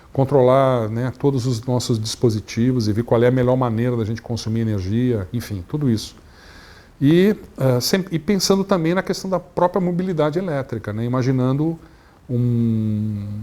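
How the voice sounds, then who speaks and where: With lively intonation, a man talks at a moderate pace in a dark, mellow tone at medium pitch. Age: 60s. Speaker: energy industry executive. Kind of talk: interview. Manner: halting, many fillers.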